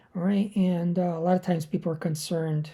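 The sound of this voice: Her voice is raspy with a dark, mellow tone, as the woman talks at a fairly quick pace with fairly even intonation. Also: fairly low pitch for a woman.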